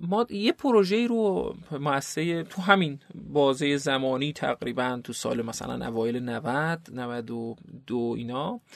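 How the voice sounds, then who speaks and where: Pitched fairly high, a man talks at a very slow pace with hardly any pauses. His intonation is lively. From eastern Iran, South Khorasan (Qaen). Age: 30s. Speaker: NGO founder and director. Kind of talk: interview. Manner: halting.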